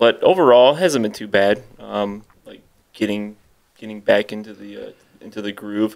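A man talks at a moderate pace, his loudness swinging widely. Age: 30s. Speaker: metal band musician; guest. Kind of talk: casual chat. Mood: relaxed, reminiscing. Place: home room. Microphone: studio mic.

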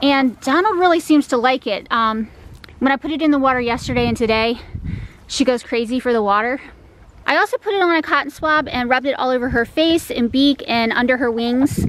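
The delivery moves at a fairly quick pace with ordinary pitch variation. The sound is dry, with no echo. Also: woman, high pitch for a woman. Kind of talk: casual vlog chat. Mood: mildly worried, hopeful. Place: garden. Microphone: phone near.

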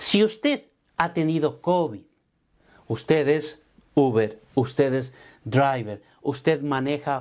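A man speaks at a medium pitch with ordinary pitch variation. His tone is slightly mellow.

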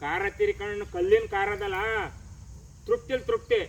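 A man talks over noticeable background noise. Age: 50s. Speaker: farmer. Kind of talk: field interview.

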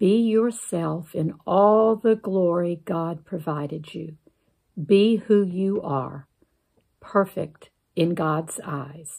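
A woman speaks at a very slow pace with a fairly low pitch. Her tone is dark and mellow, soothing and calm. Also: ordinary pitch variation, quiet background. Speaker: church member reading a Lenten meditation. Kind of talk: guided meditation and closing prayer. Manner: slow, calm, reverent, gentle pacing with pauses; earnest, prayerful, soothing. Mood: calm, reverent.

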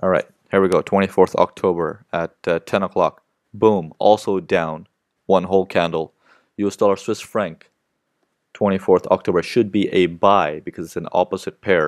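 Dry and close with no echo, a man's very deep, low voice holds a monotone, flat intonation at a moderate pace. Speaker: forex trading instructor. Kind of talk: live webinar tutorial. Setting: online webinar. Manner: halting, many fillers.

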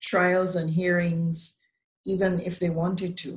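A woman speaks at a fairly slow pace and fairly low pitch. Her voice is somewhat breathy. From Barbados. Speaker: bar association president, lawyer. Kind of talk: panel discussion. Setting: video call. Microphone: video call.

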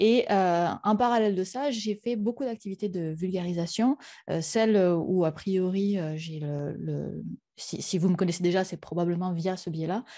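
Against a quiet background, a woman with a dark, mellow tone speaks fairly slowly at medium pitch. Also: ordinary pitch variation. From France. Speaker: science communicator and YouTuber; YouTuber. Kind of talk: conference talk. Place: home room.

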